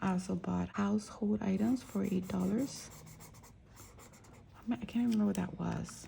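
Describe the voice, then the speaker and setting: Soft-spoken at a moderate pace, this voice comes with long, frequent pauses. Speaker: budgeting vlogger. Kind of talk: casual chat.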